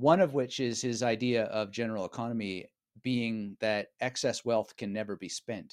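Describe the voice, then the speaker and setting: In a very clean recording with a silent background and a dry, close sound without echo, a man with a plain, everyday voice talks at a moderate pace and a medium pitch. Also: ordinary pitch variation. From Canada, Vancouver area (British Columbia). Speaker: author and memory coach. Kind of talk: casual interview.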